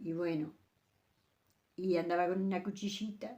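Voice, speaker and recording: A woman speaks in a Uruguayan accent at a moderate pace. Her tone is dark and mellow, her intonation fairly even. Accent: rural Uruguayan Spanish (rioplatense). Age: 80s+. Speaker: elderly rural woman recalling old times. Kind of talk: interview storytelling. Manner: halting, with many repetitions.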